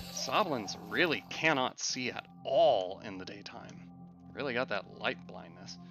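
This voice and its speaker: Over music in the background, the speaker goes fairly slowly, with very wide pitch swings and big swings in loudness. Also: man, medium pitch for a man. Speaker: gaming commentator. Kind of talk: let's play commentary. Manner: stutters, mixes up words.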